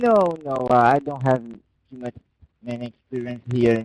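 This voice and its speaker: A man speaks at a moderate pace with a Brazilian Portuguese accent and a medium pitch. The sound is dry and close, with no echo. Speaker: sim racing driver. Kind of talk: post-race interview.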